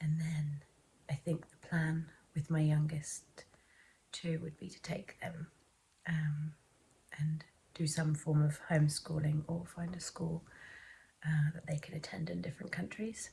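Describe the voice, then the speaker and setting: A soft-spoken woman with an English accent, a very deep, low pitch, a dark, mellow tone, somewhat breathy delivery, monotone, flat intonation and long, frequent pauses. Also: fairly slow pace, big swings in loudness. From England. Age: 30s. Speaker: vlogger. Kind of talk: casual chat.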